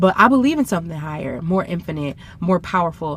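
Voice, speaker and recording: Speaking with an American accent at a fairly quick pace, a woman sounds animated, her intonation lively over noticeable background noise. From US South. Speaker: tarot reader. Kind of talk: channeled tarot reading to camera.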